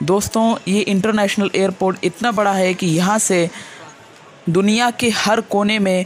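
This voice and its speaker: A woman speaks at a very slow pace, with light background noise behind her. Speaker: travel vlogger. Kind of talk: casual vlog narration. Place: hall. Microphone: phone near.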